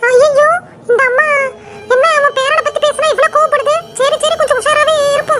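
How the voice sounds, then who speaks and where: A woman puts on a cartoonish character voice at an extremely high pitch. She talks at a moderate pace with monotone, flat intonation. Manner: grumbling, muttering schemes under her breath.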